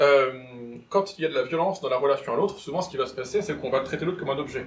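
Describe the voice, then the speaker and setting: A fairly high-pitched man's voice at a very fast pace. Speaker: clinical psychologist, lecturer. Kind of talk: lecture. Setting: conference room with live audience. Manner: not clearly articulated.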